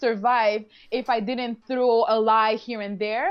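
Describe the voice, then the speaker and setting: A woman in a Quebec accent. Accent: Canadian French. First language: French. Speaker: reality show contestant. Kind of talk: casual interview. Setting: live online video stream.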